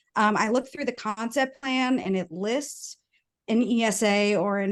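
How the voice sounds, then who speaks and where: Against a quiet background, the speaker talks with an American accent. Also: woman. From New York. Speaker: community resident speaking at public meeting. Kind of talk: public comment questions. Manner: fast.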